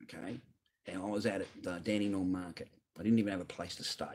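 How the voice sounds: A man speaks low at a fairly quick pace with fairly even intonation. His tone is slightly mellow with a slightly husky edge.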